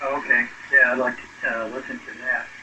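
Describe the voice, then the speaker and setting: The man keeps a moderate pace while noticeable noise carries on in the background. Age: 70s. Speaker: ham radio operator. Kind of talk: casual chat. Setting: radio contact.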